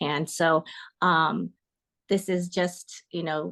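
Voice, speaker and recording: Over a quiet background, a woman with an American accent and a fairly low pitch talks at a very slow pace with fairly even intonation. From US West Coast, Northern California Bay Area. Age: 60s. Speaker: coaching client. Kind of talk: testimony interview. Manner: halting, many fillers.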